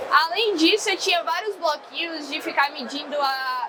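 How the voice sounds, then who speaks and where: Speaking in a Bahian accent, a woman uses a raised, projected voice at a moderate pace with ordinary pitch variation, while noticeable background noise runs underneath. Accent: Bahian Brazilian Portuguese. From Brazil, Salvador (Bahia). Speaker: civil engineer, sales team head. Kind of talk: conference talk.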